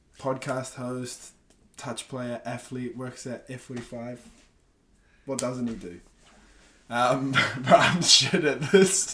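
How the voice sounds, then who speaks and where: A man with a New Zealand accent speaks at a very slow pace with long, frequent pauses, medium pitch, ordinary pitch variation, big swings in loudness and a bright, sharp tone. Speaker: podcast host. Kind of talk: casual interview chat.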